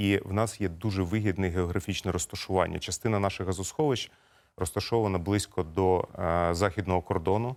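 Over a silent background in a very clean recording, a man speaks at a fairly quick pace. His pitch is very deep and low, and his intonation is fairly even. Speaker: gas company executive. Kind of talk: TV interview. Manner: formal.

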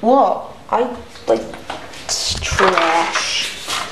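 Someone with an American accent speaks over noticeable background noise. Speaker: vlogger. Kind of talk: casual vlog. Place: home room. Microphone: phone near.

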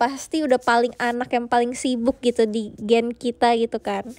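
The woman's delivery is monotone and flat, heard as a dry, close sound with no echo. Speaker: idol group member livestreaming to fans. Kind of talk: casual livestream chat. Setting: live streaming app, audio only.

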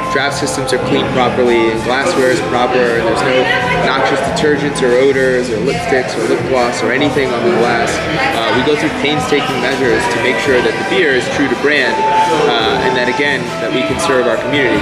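A man talks at a fairly quick pace with ordinary pitch variation while clear music plays in the background. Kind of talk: interview answer. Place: bar.

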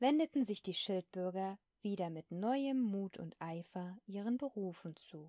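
With a dry, close sound and no echo, a woman speaks very slowly at a medium pitch, her tone dark and mellow and her intonation lively. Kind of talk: sleep story, bedtime story reading; audiobook-style reading of a classic children's tale. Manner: soft, calming, ASMR-style.

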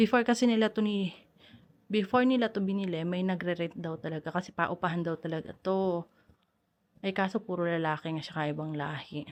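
In a normal speaking voice, the talk runs fairly quickly, with ordinary pitch variation. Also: woman, medium pitch for a woman. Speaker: vlogger. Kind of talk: casual vlog narration. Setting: at home. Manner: chatty, laughs often.

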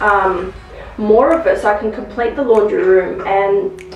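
A woman's voice with audible room echo and clear music in the background. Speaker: home DIY vlogger. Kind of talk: casual vlog chat. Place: home room. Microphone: camera far.

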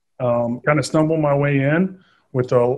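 In a quiet background, a man speaks at a fairly slow pace with fairly even intonation. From Southern Indiana; Indiana. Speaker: army officer and real estate investor; podcast guest. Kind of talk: interview. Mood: earnest, grateful. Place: home room. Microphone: video call.

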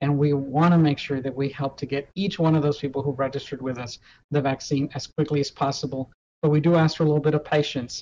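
A man's very fast, somewhat breathy delivery in an American accent, with a fairly high pitch, monotone, flat intonation, a dark, mellow tone and light background noise. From Texas. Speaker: hospital system executive. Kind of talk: interview. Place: office. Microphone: video call.

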